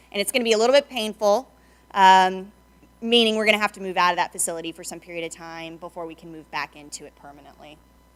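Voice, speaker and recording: At a very fast pace, the voice shows ordinary pitch variation and big swings in loudness on a very clean recording with a silent background. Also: woman, medium pitch for a woman. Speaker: city staff presenter. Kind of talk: budget presentation.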